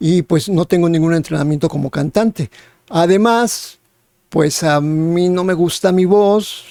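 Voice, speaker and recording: A man speaks in a high voice with a dark, mellow tone and ordinary pitch variation, recorded dry and close with no echo. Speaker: musician. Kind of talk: personal testimony. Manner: hesitant, many filler words.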